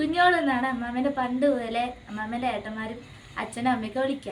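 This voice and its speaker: With fairly even intonation, a woman speaks in a high voice. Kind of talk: casual family vlog talk to camera.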